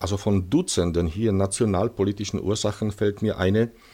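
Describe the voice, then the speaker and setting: A man with a Czech accent speaks in a dark, mellow tone. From Czech Silesia. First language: Czech (speaking German). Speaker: historian, museum deputy director. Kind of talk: interview, partly prepared historical talk. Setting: recorded at his museum. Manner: halting with frequent fillers.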